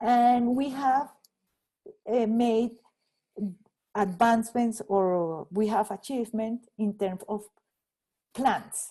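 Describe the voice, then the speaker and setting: In a Spanish accent, the speaker talks very slowly in a dark, mellow, somewhat breathy tone, with fairly even intonation and long, frequent pauses. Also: woman, fairly high pitch for a woman. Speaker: economist and rural development researcher. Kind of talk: guest talk answering audience questions. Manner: halting, many repetitions.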